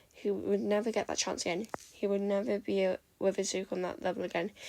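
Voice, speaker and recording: Vocal fry at a fairly quick pace. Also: woman. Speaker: fanfiction reader. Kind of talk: reading aloud. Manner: fast; halting.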